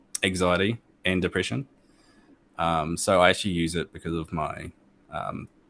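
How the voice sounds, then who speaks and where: In a very clean recording with a silent background and a dry, close sound with no echo, a man with a New Zealand accent and a very deep, low voice speaks at a moderate pace with fairly even intonation and long, frequent pauses. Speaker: gamer and streamer. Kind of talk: interview. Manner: hesitant, many fillers.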